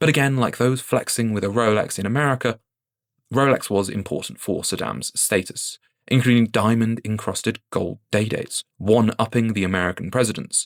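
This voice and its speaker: A man with a British accent and ordinary pitch variation, in a dry, close sound with no echo on a very clean recording with a silent background. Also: medium pitch for a man, fairly quick pace. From UK. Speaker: watch YouTuber. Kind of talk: scripted video commentary.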